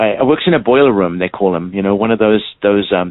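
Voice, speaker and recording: Speaking at a very fast pace, a man uses a fairly low pitch with ordinary variation. He has a slight South African accent. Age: 60s. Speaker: clown and stilt walker. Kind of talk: interview. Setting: phone call. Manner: halting, many fillers.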